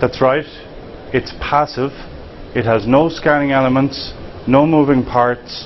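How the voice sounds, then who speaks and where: A man with an Irish accent speaks at a fairly slow pace and a medium pitch. Noticeable background noise is present. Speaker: tech company founder. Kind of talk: conference pitch presentation.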